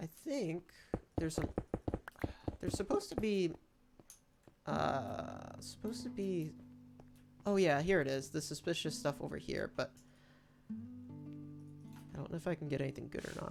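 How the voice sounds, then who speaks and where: Speaking at a moderate pace with an American accent, a woman uses lively intonation and a very deep, low pitch touched by vocal fry. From United States. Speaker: gaming streamer. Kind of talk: live gameplay commentary. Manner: casual, conversational.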